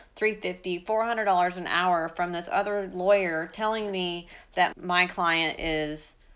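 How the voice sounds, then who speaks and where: This is a woman with an ordinary speaking voice. She talks at a medium pitch with ordinary pitch variation. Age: 40s. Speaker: family law attorney and podcast host. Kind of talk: interview conversation.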